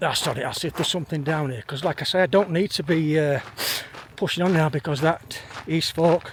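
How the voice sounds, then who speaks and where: Against noticeable background noise, a man talks at a fairly quick pace in a fairly high voice. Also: ordinary pitch variation. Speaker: hiking vlogger. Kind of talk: vlog narration. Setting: outdoors. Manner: casual, rambling.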